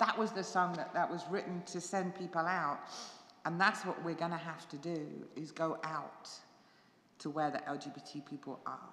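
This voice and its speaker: A woman with an English accent speaks at a fairly low pitch and a moderate pace. Her intonation is fairly even, with audible room echo around her. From England. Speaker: pastor. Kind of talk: church forum talk. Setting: church with live audience and stream. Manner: conversational, halting.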